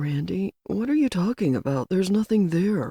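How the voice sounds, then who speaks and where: A woman's put-on character voice, medium in pitch, at a moderate pace. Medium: read story.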